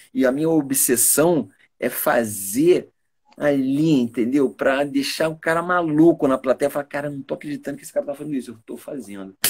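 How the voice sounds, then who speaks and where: This man has an ordinary speaking voice, fairly high in pitch, with ordinary pitch variation, a moderate pace and big swings in loudness. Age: 60s. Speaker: stage actor. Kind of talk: interview.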